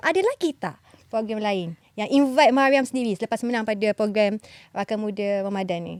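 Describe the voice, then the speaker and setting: A woman speaks in a normal speaking voice at a fairly quick pace, medium in pitch with ordinary pitch variation. The sound is dry and close with no echo. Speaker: radio host. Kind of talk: casual interview.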